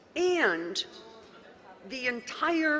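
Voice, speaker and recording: A woman with an American accent speaks in an animated tone, her pitch swinging very widely. Noticeable background noise runs underneath. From US, West Virginia (Wheeling). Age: 70s. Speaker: county official. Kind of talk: conference talk.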